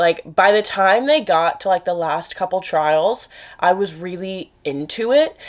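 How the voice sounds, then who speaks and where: The woman's voice sits at a medium pitch and shows ordinary pitch variation. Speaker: book vlogger. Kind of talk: casual vlog chat. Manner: fast; trips over words.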